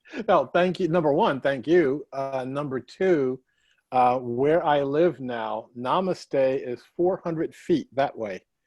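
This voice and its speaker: Set against a quiet background with a dry, close sound and no echo, a man speaks at a very slow pace, his fairly high pitch showing ordinary variation. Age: 60s. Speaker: workshop facilitator. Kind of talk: online workshop introductions. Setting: video call.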